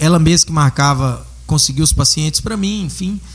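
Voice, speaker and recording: A man at a moderate pace with very wide pitch swings and noticeable background noise. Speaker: dentist. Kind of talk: casual chat.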